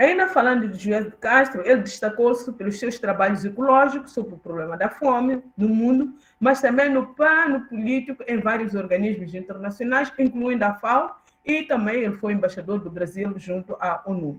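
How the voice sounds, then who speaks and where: Somewhat breathy and fairly high-pitched, a woman speaks at a moderate pace with lively intonation and hardly any pauses. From Mozambique, southern, near Maputo. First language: Xangana (Tsonga) (speaking Portuguese). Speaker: professor, keynote speaker. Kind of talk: conference lecture. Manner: hesitant, many fillers.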